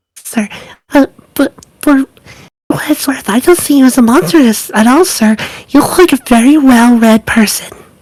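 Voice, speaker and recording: In a put-on character voice, the speaker moves at a moderate pace and leaves long, frequent pauses. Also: female-sounding voice, high pitch for a woman. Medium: actual play. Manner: stammering, deferential.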